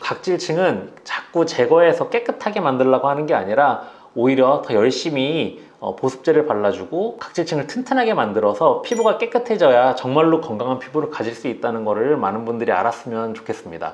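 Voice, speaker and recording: A man speaks fairly quickly in a fairly high pitch. His pitch swings very widely. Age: 40s. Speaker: dermatologist. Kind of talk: interview. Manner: hesitant fillers.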